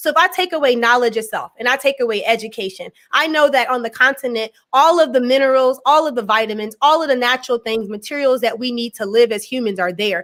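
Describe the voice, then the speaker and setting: A woman talking very fast with an American accent, a high pitch and ordinary pitch variation. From USA. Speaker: education scholar. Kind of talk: interview discussion.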